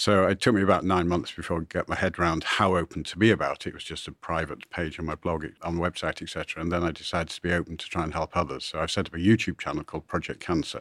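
In a very clean recording with a silent background and a dry, close sound with no echo, a man talks very fast in a very deep, low pitch with fairly even intonation. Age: 60s. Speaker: angel investor and entrepreneur. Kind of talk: interview.

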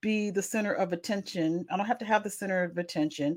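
The voice shows ordinary pitch variation. The recording is very clean, with a silent background. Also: woman. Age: 40s. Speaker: podcast host and accountability coach. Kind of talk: solo podcast monologue, self-promotion. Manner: halting, many fillers; casual.

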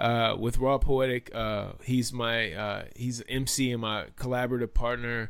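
At a moderate pace and with hardly any pauses, a man with an American accent speaks at medium pitch. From Washington DC area (suburban Maryland). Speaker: podcast host, game sound designer, hip hop producer. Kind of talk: casual chat. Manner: animated.

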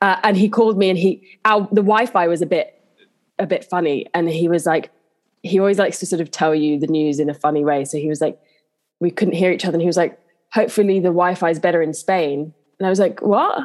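The speaker has a London accent. They talk at a very fast pace. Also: woman, fairly low pitch for a woman, ordinary pitch variation. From southeast London, England. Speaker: actress. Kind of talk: casual interview chat.

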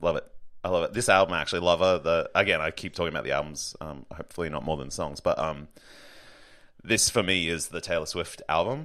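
Very deep and low in pitch yet bright and sharp in tone, a man talks at a very fast pace with ordinary pitch variation. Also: very clean recording, silent background. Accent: Australian. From Brisbane, Queensland, Australia. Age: 30s. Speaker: comedian. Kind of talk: casual chat.

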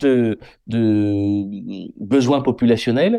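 Against a quiet background, a man speaks at a medium pitch in a dark, mellow tone. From France, Haute-Vienne (Limousin). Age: 30s. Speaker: general practitioner. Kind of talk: interview. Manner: halting, repeats words.

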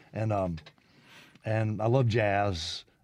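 Against a quiet background, a man with a Mississippi accent talks in a fairly low pitch. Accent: Mississippi Southern. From Mississippi (Brandon, near Jackson). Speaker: musician. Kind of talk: radio interview. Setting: studio.

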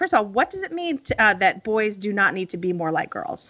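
Very fast and raised to project, a woman's bright, sharp voice jumps through very wide pitch swings. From rural Illinois. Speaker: podcast host. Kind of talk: interview conversation.

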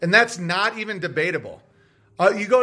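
A man projects his high-pitched voice with a bright, sharp tone in a very clean recording against a silent background. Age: 40s. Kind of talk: angry rant. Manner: fired up, insistent, profane.

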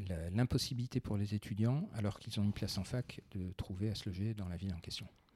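Delivered at a very fast pace, the somewhat breathy voice has a dark, mellow tone and ordinary pitch variation. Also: man, fairly low pitch for a man. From France, Besançon. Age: 40s. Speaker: finance executive. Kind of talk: interview. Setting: in the host's living room.

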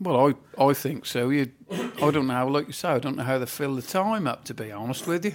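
This man talks at a fairly quick pace with a Norfolk accent. His pitch is fairly high and his intonation lively. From Norfolk, England. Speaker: farmer.

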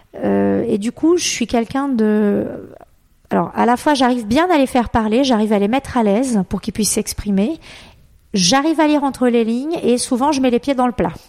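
A woman's high voice with a dark, mellow tone, ordinary pitch variation, very even loudness and a moderate pace. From Brazil. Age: 40s. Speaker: travel agency founder. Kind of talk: interview. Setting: home office.

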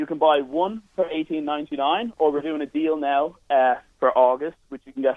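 In an Irish accent, a man talks at a fairly high pitch and moderate pace with ordinary pitch variation. His loudness swings a lot. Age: 20s. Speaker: entrepreneur. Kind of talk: sales pitch. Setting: phone call.

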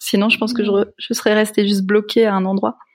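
A woman with an unremarkable speaking voice talks at medium pitch and a fairly quick pace with fairly even intonation, in a very clean recording with a silent background. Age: young. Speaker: pastor. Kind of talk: casual chat.

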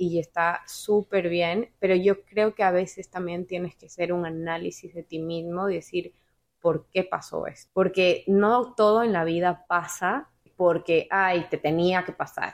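Speaking at a fairly slow pace, a woman with an ordinary speaking voice at medium pitch keeps fairly even intonation while her loudness swings widely. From Ecuador. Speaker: podcast guest, office worker and amateur painter. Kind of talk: casual chat. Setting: at the guest's home.

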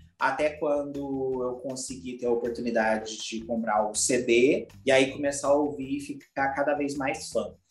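At a moderate pace and with hardly any pauses, a man with a fairly high pitch talks in audible room echo. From Minas Gerais, Brazil (Lavras). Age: 20s. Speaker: youtuber and advertising professional. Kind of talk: casual interview chat.

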